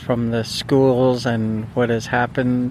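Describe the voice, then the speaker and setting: Over noticeable background noise, a man speaks at a medium pitch in a monotone, flat intonation. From British Columbia, Canada (First Nations community). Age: 50s. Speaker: residential school survivor family member. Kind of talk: testimony. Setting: outdoors at a sacred fire.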